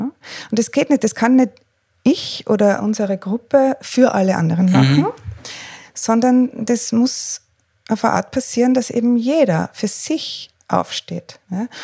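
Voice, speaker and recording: Recorded dry and close with no echo, a woman with a dark, mellow tone talks at a fairly slow pace. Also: fairly high pitch for a woman, lively intonation. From Austria, Tyrol. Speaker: freelance journalist and coach. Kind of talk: interview. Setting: living room at home. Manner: hesitant, many fillers.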